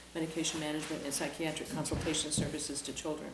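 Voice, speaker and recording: A woman speaks at a fairly quick pace over noticeable background noise, with audible room echo. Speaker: mental health services director. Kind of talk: presentation at town meeting. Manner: fast.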